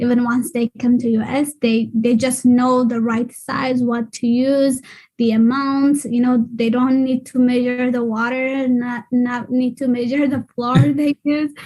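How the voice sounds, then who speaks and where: In a dark, mellow tone, a woman speaks at a high pitch in a flat monotone, going fairly slowly with hardly any pauses. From Ethiopia. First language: Afan Oromo. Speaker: early math program trainer. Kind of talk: panel discussion. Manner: halting, many fillers.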